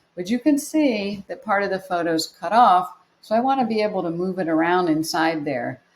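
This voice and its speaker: A woman speaks in an ordinary speaking voice at a moderate pace, her medium pitch carried by lively intonation. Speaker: photography teacher. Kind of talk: tutorial.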